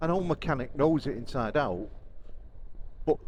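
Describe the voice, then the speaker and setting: A man speaks with vocal fry and lively intonation. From northern England, Warrington, Cheshire. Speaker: motorcycle vlogger. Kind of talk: casual vlog monologue. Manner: rambling, conversational with fillers.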